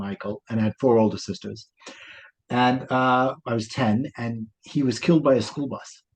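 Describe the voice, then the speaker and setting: Medium pitch and fairly even intonation from a man with a New York accent. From New York, Brooklyn. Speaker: life coach. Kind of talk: interview.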